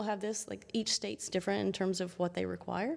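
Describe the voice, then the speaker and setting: In a very clean recording with a silent background, a woman speaks with a Southern US accent. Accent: charming Southern US. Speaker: chiropractor. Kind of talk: interview.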